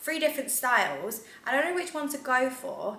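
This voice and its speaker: Audible room echo surrounds a woman's voice. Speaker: lifestyle vlogger. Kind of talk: casual vlog chat. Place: home room. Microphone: camera far.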